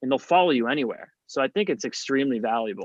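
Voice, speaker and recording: A man's plain, everyday voice, fairly high in pitch with lively intonation, dry and close with no echo against a quiet background. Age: 30s. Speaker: comedian. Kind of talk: casual chat.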